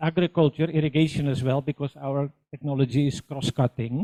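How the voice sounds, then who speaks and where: With a Dutch accent, a man speaks fairly quickly in a dark, mellow tone at a fairly high pitch, his intonation fairly even. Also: dry, close sound with no echo. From Netherlands. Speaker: engineer and social entrepreneur. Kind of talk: conference presentation. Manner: halting.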